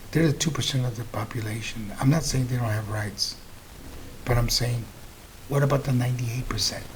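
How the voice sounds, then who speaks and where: There is audible room echo as a man talks at a medium pitch. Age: 60s. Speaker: political commentary host. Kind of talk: political commentary monologue. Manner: animated.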